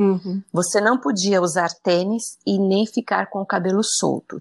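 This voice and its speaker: A woman speaks in a normal speaking voice at medium pitch and a moderate pace. The sound is dry and close, with no echo. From Brazil, São Paulo (early years in Brasília). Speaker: journalist. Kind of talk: interview conversation.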